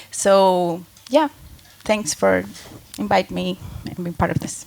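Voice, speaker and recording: A woman talks at a fairly slow pace in a Spanish accent. Her loudness swings a lot. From Colombia. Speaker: music collective organizer. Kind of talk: panel discussion.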